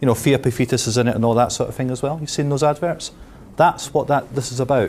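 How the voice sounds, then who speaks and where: In a Scottish accent, a man talks at a very fast pace. His intonation is fairly even. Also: medium pitch for a man. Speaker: pensions specialist. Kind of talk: seminar talk. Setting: seminar room with audience. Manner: casual, with frequent fillers.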